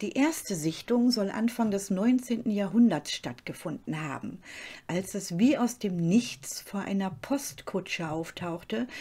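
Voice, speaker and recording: A woman at a very slow pace and a medium pitch, with a dark, mellow tone, a dramatic, serious tone and a somewhat breathy voice. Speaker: true-crime channel host. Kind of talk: true-crime narration. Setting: studio, solo voiceover. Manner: calm, measured storytelling pace; slightly dramatic, suspenseful and serious tone.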